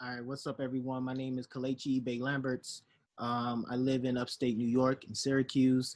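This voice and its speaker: In a Chicago accent, a man of medium pitch talks at a moderate pace with monotone, flat intonation. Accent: Chicago American English. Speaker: professor. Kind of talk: casual chat.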